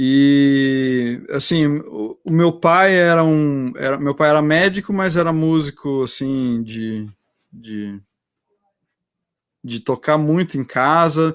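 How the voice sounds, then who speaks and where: Speaking at a very slow pace, a man has a fairly high pitch with ordinary pitch variation. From interior of São Paulo state (Americana). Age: 40s. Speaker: oceanographer and teacher. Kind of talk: casual chat. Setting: online live stream.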